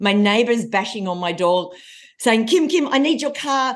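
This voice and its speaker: Against a quiet background, a woman speaks in an animated tone at a fairly high pitch. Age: 40s. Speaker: confidence coach and keynote speaker. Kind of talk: podcast interview.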